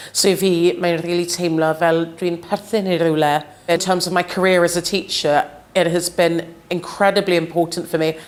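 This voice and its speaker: A woman with a London accent at a moderate pace, fairly low in pitch and monotone in intonation, over noticeable background noise. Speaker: teacher. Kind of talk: interview testimony.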